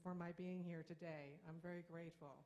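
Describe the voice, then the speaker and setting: A woman talks in a flat monotone at a fairly low pitch, with audible room echo. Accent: American. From Brooklyn, New York. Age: 60s. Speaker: feminist activist speaker. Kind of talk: conference speech.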